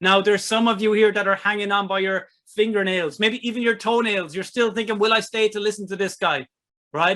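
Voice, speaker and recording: In a raised, projected voice, a man with an Irish accent talks at a very fast pace with a high pitch and a bright, sharp tone. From Ireland. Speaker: online marketing presenter, author. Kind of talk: webinar sales presentation. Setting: online webinar with chat. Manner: animated.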